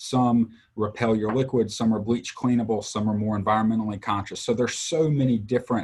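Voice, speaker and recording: A man speaks at medium pitch with a Southern US accent and fairly even intonation. His pace is fairly quick, with hardly any pauses and very even loudness. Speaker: textile industry sales trainer. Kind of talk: livestream interview.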